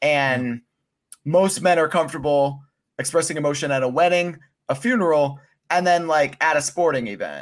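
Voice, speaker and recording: A man with an American accent and a normal speaking voice talks at a moderate pace, his pitch fairly high with ordinary pitch variation. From Pennsylvania. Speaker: mental health advocate. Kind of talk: casual chat.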